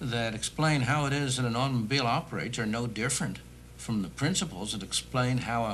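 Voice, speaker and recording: Over light background noise, a man talks at a fairly quick pace with vocal fry. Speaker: guest. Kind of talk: interview answer. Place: studio.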